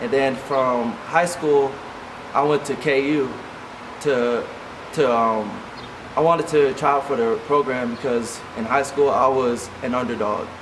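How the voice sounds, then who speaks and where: In an audible room echo with noticeable background noise, a man with a fairly high voice and an American accent speaks fairly slowly and evenly, leaving long, frequent pauses. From Kansas, Junction City. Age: 20s. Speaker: athlete vlogger. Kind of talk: personal life story vlog.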